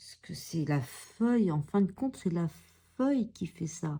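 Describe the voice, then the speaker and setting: A woman's somewhat breathy voice with a dark, mellow tone, very wide pitch swings and a fairly slow pace. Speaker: coloring tutorial youtuber. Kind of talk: tutorial. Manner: halting; soft-spoken.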